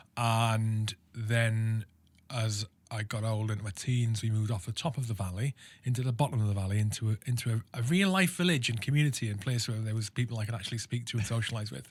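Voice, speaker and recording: With a Welsh accent, a man of medium pitch talks at a very fast pace, somewhat breathy and with ordinary pitch variation, in a very clean recording with a silent background. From South Wales. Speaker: army veteran. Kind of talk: interview. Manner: halting.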